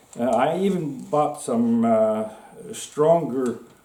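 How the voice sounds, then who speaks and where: In a Norwegian accent, a man speaks at a medium pitch with lively intonation. The room echo can be heard. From Norway. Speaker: gun hobbyist video maker. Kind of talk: casual show-and-tell tutorial. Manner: halting, many fillers.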